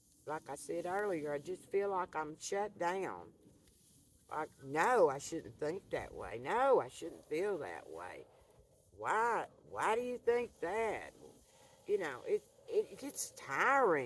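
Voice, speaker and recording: A woman talks at a very slow pace. She has an Appalachian accent. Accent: Southern Appalachian US. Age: 70s. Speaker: vlogger. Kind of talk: casual monologue to camera. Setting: outdoors by a fire pit.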